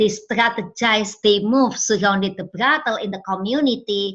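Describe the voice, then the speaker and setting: A woman speaks with an Indonesian accent. Her pitch sits at a medium level, with ordinary pitch variation. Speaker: trafficking survivor and campaigner. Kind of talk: testimony. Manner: halting, many fillers.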